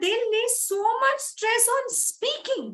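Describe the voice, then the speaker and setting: A woman speaks with an Indian accent. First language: Hindi. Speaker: English speaking coach. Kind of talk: motivational talk.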